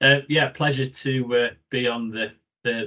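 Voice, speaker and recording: A man speaks with a Yorkshire accent. His pace is fairly quick. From Yorkshire, northern England. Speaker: occupational hygienist, professional body president-elect. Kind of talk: webinar presentation. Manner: hesitant, many fillers.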